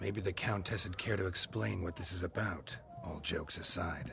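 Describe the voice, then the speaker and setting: With clear background noise around him, a man performs a put-on character voice pitched very deep and low, keeping a moderate pace. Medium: game stream. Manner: dry, low-key.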